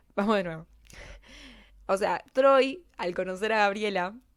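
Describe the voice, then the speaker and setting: On a very clean recording with a silent background, a woman of medium pitch speaks in a Rioplatense accent with ordinary pitch variation. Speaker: YouTuber, film character analyst. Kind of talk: casual video essay monologue. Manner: fast; hesitant, self-correcting.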